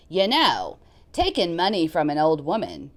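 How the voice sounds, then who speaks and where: Put-on character voice, raspy, at a moderate pace. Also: woman, medium pitch for a woman. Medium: read story. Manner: salty, defiant.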